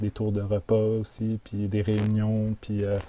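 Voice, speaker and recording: A man talks at medium pitch in a dark, mellow tone. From Quebec, Montreal suburbs (Chambly). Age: 30s. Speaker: intentional community founder. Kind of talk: interview. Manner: halting, many fillers and repetitions.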